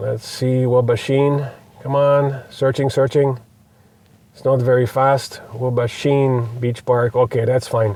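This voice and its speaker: At a very slow pace, a man with a medium pitch and a dark, mellow tone talks in monotone, flat intonation with big swings in loudness. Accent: Polish. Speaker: electric car reviewer. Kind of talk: car review demonstration. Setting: in a car. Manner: hesitant, many fillers.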